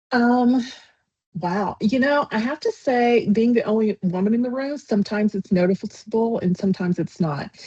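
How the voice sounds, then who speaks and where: A woman with a fairly high pitch and a dark, mellow, somewhat breathy tone speaks at a moderate pace in a Southern US accent, the sound dry and close with no echo. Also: ordinary pitch variation. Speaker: sales executive, company founder. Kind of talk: interview.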